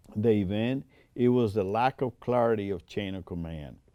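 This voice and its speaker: A man's dark, mellow tone with a Puerto Rican accent. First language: Spanish. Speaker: air force veteran. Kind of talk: oral history interview.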